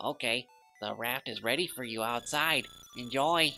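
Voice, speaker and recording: At a moderate pace, a speaker uses a put-on character voice pitched low-to-middle. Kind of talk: nerdy voice. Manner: cheerful game vendor.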